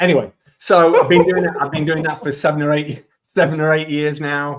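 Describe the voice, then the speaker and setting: A man speaks with a Leeds accent. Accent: northern English (Leeds). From northern England, Leeds. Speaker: digital marketing consultant. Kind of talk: webinar presentation.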